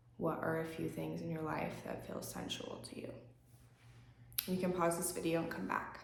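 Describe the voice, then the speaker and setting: Speaking at a moderate pace with long, frequent pauses, a woman is heard with audible room echo and noticeable background noise. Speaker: yoga instructor. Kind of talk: guided yoga class and journaling prompts. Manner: casual, with frequent um fillers.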